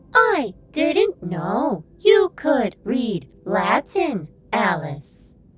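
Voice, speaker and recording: Using a put-on character voice, a female-sounding speaker talks at a fairly high pitch and a very slow pace. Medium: audio drama. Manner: formal, measured.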